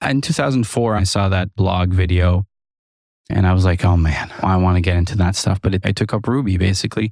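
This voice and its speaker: A man with a French-Canadian accent speaks at a fairly quick pace in a very deep, low pitch, with fairly even intonation and very even loudness. The recording is very clean, with a silent background, and the sound is dry and close with no echo. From French Canada (Quebec and Ontario). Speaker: freelance software developer. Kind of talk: casual interview.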